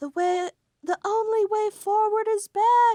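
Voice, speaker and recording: A woman puts on a squeaky character voice at an extremely high pitch, speaking fairly slowly with fairly even intonation. The sound is dry and close, with no echo. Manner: calm.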